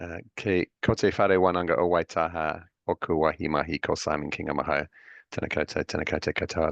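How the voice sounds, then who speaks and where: A man's very deep, low voice with an English accent, at a fairly quick pace with ordinary pitch variation, in a dry, close sound with no echo against a quiet background. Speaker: professor. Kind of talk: panel discussion. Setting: video call. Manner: fast.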